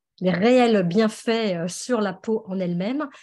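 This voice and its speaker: A woman's dark, mellow tone with ordinary pitch variation, set against a quiet background. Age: 60s. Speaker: customer giving testimony. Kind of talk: testimony. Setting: video call. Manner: hesitant, many fillers.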